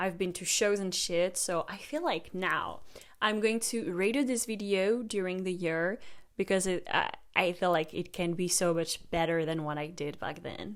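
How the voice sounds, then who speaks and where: In a very clean recording with a silent background, a woman speaks with a French accent. Her medium pitch varies in an ordinary way, and her pace is moderate. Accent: French accent, noticeable. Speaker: music reaction youtuber. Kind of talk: casual commentary over own old video. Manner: casual, swears.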